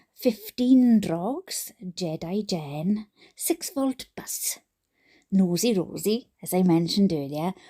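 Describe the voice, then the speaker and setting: Her voice is fairly low for a woman, somewhat breathy and dark and mellow in tone, with lively intonation and a dry, close sound with no echo. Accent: Welsh. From Wales. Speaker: YouTube reader. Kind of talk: casual chat. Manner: halting.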